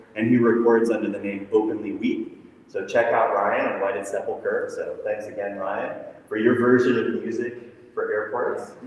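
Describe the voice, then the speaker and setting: Noticeable background noise and audible room echo surround this man as he speaks. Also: moderate pace. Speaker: discussion moderator. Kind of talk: event moderation to live audience. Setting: echoey airport terminal with live audience. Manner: loud. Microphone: no microphone, echoey room.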